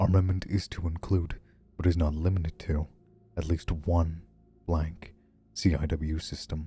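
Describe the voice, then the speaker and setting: Over music in the background, a man with a very deep, low voice speaks in a monotone, flat intonation. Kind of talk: horror document reading.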